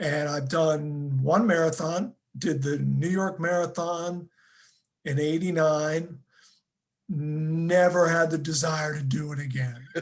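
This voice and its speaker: A man with a fairly high pitch speaks at a very slow pace. His intonation is fairly even, with audible room echo. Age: 60s. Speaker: sports journalist. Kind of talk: interview. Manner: halting.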